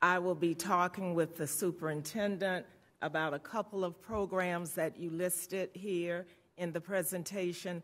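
At a moderate pace, a woman speaks with a fairly low pitch. Her intonation is monotone and flat. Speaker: school board member, former principal. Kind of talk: board meeting remarks. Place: meeting room. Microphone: podium.

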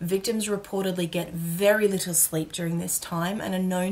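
A woman with an Australian accent talks with fairly even intonation and hardly any pauses. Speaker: educational YouTuber. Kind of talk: scripted narration. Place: home room.

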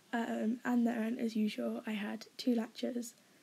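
A woman's fairly high, somewhat breathy voice, dark and mellow in tone, with an English accent and a very slow pace. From England. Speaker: university student. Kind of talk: casual talk to camera.

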